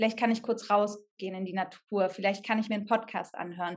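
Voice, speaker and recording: Somewhat breathy and fairly high-pitched, the woman speaks in a monotone, flat intonation over a quiet background. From Germany, Sauerland. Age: 30s. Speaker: actress, hospital clown and coach. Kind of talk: casual interview.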